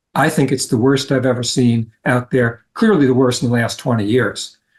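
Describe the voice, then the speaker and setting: A man with a medium pitch and a somewhat breathy voice speaks at a moderate pace. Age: 70s. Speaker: road safety advocate. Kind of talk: interview.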